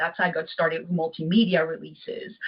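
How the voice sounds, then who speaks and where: A woman talks in a French accent. Her voice is somewhat breathy, with ordinary pitch variation. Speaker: poet and author. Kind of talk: interview.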